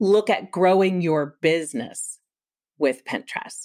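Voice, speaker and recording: Fairly slow delivery in a plain, everyday voice, its pitch varying in an ordinary way. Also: woman. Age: 50s. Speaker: Pinterest marketing expert and photographer. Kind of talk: interview.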